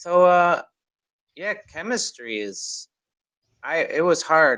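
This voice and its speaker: Speaking at a very slow pace over a quiet background, a man talks with a Midwestern American accent. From US, Chicago. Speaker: online English tutor. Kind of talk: casual conversation practice.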